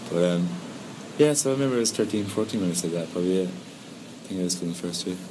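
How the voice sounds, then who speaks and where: Noticeable background noise runs under a man with a very deep, low pitch. He speaks at a very fast pace with ordinary pitch variation. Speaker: singer-songwriter. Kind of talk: interview. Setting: outdoors in a sea cave.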